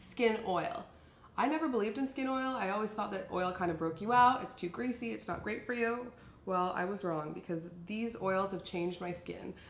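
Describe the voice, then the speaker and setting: Audible room echo surrounds a woman's voice at a medium pitch. Her intonation is lively. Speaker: beauty and fashion vlogger. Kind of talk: casual product review. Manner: fast.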